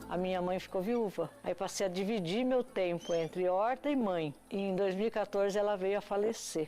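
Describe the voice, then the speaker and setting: Here is a woman with a plain, everyday voice and medium pitch. She speaks at a fairly slow pace. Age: 60s. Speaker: organic farmer. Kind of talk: documentary interview.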